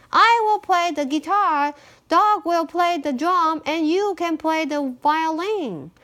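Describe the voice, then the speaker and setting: A woman's put-on character voice, extremely high in pitch, at a fairly slow pace. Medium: read story.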